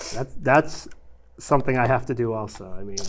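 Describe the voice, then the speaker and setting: Noticeable background noise can be heard while the man talks. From New York. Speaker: podcast host. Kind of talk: casual chat.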